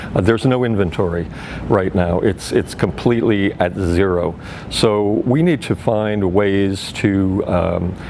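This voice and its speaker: A man with an American accent speaks at a fairly slow pace in a fairly low pitch, with ordinary pitch variation and very even loudness over noticeable background noise. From US, New York (Brooklyn). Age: 60s. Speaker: political candidate. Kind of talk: interview.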